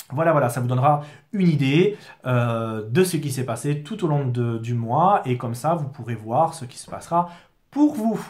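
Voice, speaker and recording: A man with a fairly high pitch, lively intonation, a somewhat breathy voice, big swings in loudness and a moderate pace. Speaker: product distributor. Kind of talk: product explainer video. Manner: halting, many fillers.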